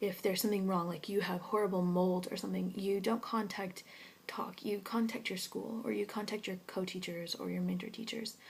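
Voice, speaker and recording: Her pitch is medium, with vocal fry running through it. The woman keeps a fairly quick pace and fairly even intonation. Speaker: English teaching scholar in Korea. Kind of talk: vlog answering viewer questions. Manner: fast.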